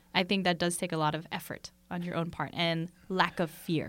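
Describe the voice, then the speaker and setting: A woman uses a normal speaking voice at a medium pitch and a moderate pace, on a very clean recording with a silent background. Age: 20s. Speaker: podcast host. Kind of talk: casual interview. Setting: studio.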